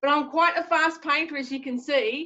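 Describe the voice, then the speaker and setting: A woman speaks in a high pitch with an Australian accent and a bright, sharp tone. Her voice is raised and projected at a moderate pace over a quiet background. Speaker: artist teaching a painting class. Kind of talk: tutorial. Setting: video call. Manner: animated. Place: home room. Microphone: video call.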